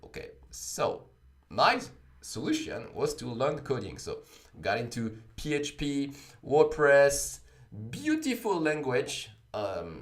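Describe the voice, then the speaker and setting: Over music in the background, a man speaks with a French accent, his voice carrying audible room echo. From France, Paris. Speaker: blockchain coding instructor. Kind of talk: livestream talk. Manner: many fillers, uh and um.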